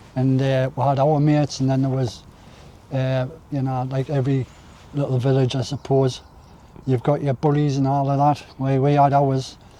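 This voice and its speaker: The delivery is monotone and flat at a moderate pace. Long pauses come often. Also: man, medium pitch for a man. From northern England, County Durham. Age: 60s. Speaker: allotment vlogger. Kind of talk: casual chat. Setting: outdoors.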